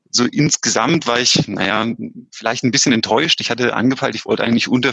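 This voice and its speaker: He is a man with a medium pitch and a plain, everyday voice. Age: 30s. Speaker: amateur triathlete. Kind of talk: interview. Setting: remote call. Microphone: headset, choppy connection.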